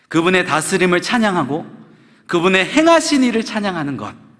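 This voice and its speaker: The pitch swings very widely, and audible room echo surrounds the voice. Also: man. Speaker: pastor. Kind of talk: sermon.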